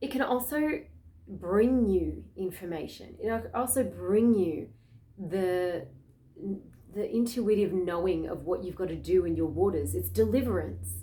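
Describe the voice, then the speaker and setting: A woman with an Australian accent is heard with audible room echo. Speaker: spiritual astrology vlogger. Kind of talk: casual spiritual talk to camera. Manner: fast.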